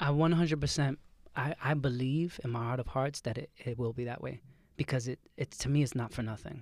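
Here a man with a New York accent speaks fairly quickly at a medium pitch. His intonation stays fairly even. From Brooklyn, New York. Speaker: nutritionist and photographer. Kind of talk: casual chat. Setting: studio.

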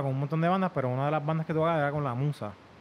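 A man with a normal speaking voice, fairly high pitch and ordinary pitch variation. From Puerto Rico (Isabela), born in Virginia. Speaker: musician, trombonist. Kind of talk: casual chat.

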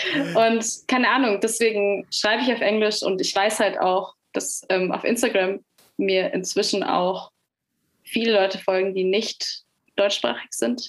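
A woman's medium-pitched, an ordinary speaking voice, with very even loudness, ordinary pitch variation and a fairly slow pace. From Nuremberg, Germany. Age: young. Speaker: singer-songwriter. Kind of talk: interview.

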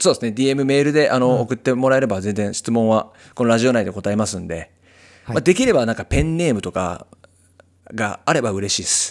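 Moving at a fairly quick pace, a man with an unremarkable speaking voice talks at medium pitch with lively intonation. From Japan, Kitakyushu, Fukuoka. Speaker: singer-songwriter and podcast host. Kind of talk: casual chat.

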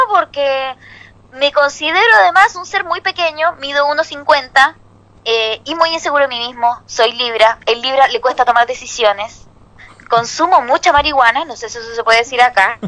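A woman's high, raised, projected voice in a Chilean accent, at a moderate pace, with big swings in loudness and noticeable background noise. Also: lively intonation. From Chile, Santiago. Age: 30s. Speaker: comedian. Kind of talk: stand-up.

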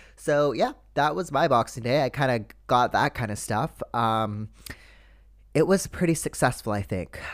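A man with a normal speaking voice and a Canadian accent talks at a moderate pace and a medium pitch in a very clean recording with a silent background. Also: lively intonation. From Canada. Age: 20s. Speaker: podcast host. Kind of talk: casual chat.

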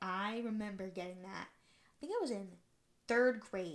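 Bright, sharp in tone, a woman's voice sits at a medium pitch with ordinary pitch variation. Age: 20s. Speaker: podcast host. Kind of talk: casual monologue. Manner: rambling with many fillers.

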